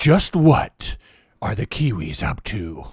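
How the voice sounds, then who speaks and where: Using a put-on character voice, a man with a medium pitch speaks in a dramatic tone with very wide pitch swings at a fairly slow pace, in a dry, close sound with no echo. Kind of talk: mock news. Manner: dramatic, suspenseful.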